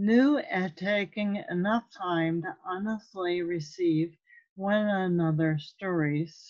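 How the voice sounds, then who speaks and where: A woman in a solemn tone at a very slow pace, with ordinary pitch variation and a quiet background. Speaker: lay minister, author. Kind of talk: poetry reading at a church service. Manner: slow, solemn. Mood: calm, solemn, earnest. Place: home room. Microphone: webcam.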